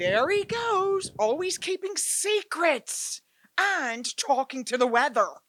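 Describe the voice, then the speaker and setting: A female-sounding put-on character voice is pushed to an extremely high pitch with very wide pitch swings, delivered at a fairly slow pace. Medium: audio drama.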